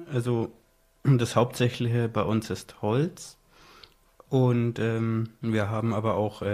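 A man speaks at a very slow pace in a medium-pitched voice. He sounds somewhat breathy, with fairly even intonation. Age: 20s. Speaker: blind sheltered-workshop worker. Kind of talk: casual interview. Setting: studio.

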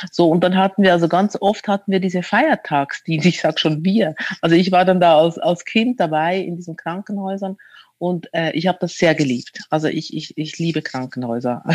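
Ordinary pitch variation runs through speech that keeps a moderate pace. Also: woman, fairly low pitch for a woman. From Switzerland. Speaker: author. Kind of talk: interview. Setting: remote call from home.

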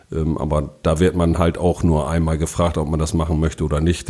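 A man's very deep, low voice with a dark, mellow tone. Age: 50s. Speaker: city official and councillor. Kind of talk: casual interview.

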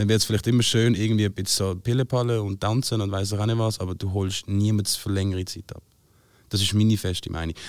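A man speaks in a fairly low, flat monotone at a fairly quick pace, on a very clean recording with a silent background. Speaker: singer-songwriter. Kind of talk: casual chat.

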